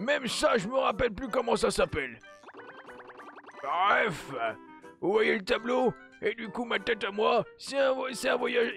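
With clear music in the background, a put-on character voice at a fairly high pitch moves at a moderate pace. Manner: hesitant, halting.

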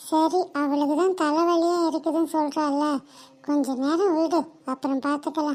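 A woman's cartoonish character voice, high-pitched and monotone, at very even loudness and a fairly slow pace

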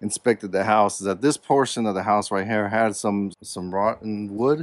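A man talks at a moderate pace in a fairly low pitch, with a plain, everyday voice. The sound is dry, with no echo. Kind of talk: casual vlog chat. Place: open country. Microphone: phone near.

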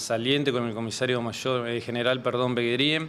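A man with an Argentine Litoral accent over light background noise. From Argentina, Entre Ríos province. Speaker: police chief. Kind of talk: press interview. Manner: halting, many fillers. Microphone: handheld.

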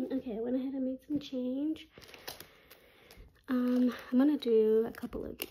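The woman's voice is high in pitch. She keeps to a moderate pace. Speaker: budgeting YouTuber. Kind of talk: casual chat, cash stuffing tutorial. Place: home room. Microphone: phone near.

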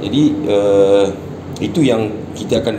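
Over clear background noise, a man speaks at a fairly slow pace with a fairly low pitch and ordinary pitch variation.

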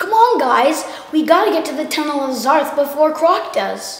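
A woman uses a put-on character voice pitched high, with a clear echo around it. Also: moderate pace. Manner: eager, urgent, adventurous.

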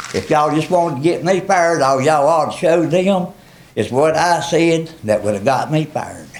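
At a moderate pace, a man with an American accent speaks in a fairly high pitch with ordinary pitch variation, with noticeable background noise behind him. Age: 70s. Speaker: member of the public speaking at council meeting. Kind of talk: public comment complaint. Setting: town council meeting. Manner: agitated.

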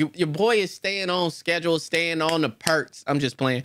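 With a bright, sharp tone and ordinary pitch variation, a man speaks against a quiet background. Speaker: YouTuber. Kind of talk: casual vlog chat.

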